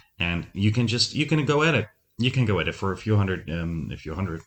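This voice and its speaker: In a very clean recording with a silent background, a man with a Dutch accent talks at a fairly quick pace in a very deep, low pitch. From Netherlands, Breda. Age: 30s. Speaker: podcast host, former radio host. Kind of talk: solo podcast monologue. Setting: home recording setup. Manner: many filler ums.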